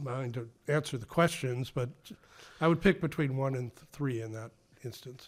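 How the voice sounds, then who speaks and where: A man with a slight Massachusetts accent talks at a medium pitch, leaving long, frequent pauses. His loudness swings widely, and the recording is very clean with a silent background. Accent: Ipswich Massachusetts accent, a little flat. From Ipswich, Massachusetts. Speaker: author and former political staffer. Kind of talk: casual podcast interview.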